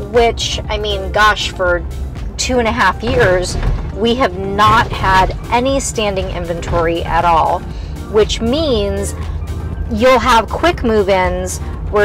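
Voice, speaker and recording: A woman at a very slow pace, dry with no echo, over clear music in the background. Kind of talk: casual tour commentary. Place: car.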